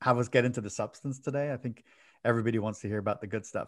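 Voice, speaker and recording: With an American accent, a man speaks at a medium pitch against a quiet background. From Ireland, Dublin. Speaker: technology author and former city CIO. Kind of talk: podcast interview.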